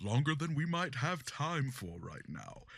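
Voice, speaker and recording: Pitching his voice fairly high, the man performs a put-on character voice. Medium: audio drama. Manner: stately, theatrical.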